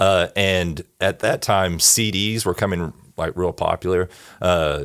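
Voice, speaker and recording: A man with an East Texas accent talks at a fairly slow pace. His pitch is very deep and low, and the recording is very clean with a silent background. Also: fairly even intonation, very even loudness, dry, close sound with no echo. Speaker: church bass player and band director. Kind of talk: casual chat.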